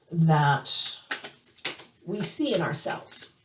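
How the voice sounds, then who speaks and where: A woman is heard speaking with noticeable background noise present. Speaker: tarot reader. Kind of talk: tarot reading. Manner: hesitant, many fillers.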